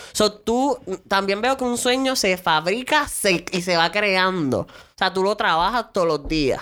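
Using a normal speaking voice, a woman talks at a fairly slow pace and medium pitch, with lively intonation and very even loudness. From Puerto Rico. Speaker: podcast host. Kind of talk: casual chat.

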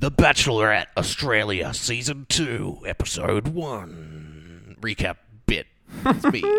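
A man does a put-on character voice at a medium pitch, with very wide pitch swings. He speaks at a fairly slow pace. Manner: put-on recap host voice.

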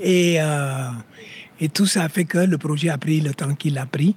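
A man speaks at a fairly slow pace, recorded dry and close with no echo. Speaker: local politician (alderman).

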